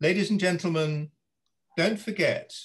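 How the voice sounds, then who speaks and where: A somewhat breathy voice is heard against a quiet background. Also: man. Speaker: retired judge and arbitrator chairing webinar; retired judge. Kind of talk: moderating panel discussion. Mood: dry humour, calm. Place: home room. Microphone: video call.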